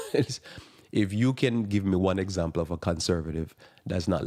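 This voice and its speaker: With a strong Jamaican accent, a man speaks at a very deep, low pitch in a dark, mellow tone. His pitch variation is ordinary. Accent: thick Jamaican. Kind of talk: live radio talk monologue.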